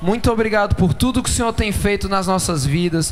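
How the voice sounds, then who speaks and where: High-pitched man at a moderate pace, ordinary pitch variation, noticeable background noise and audible room echo. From Brazil, São Paulo. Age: 20s. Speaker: pastor. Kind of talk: sermon.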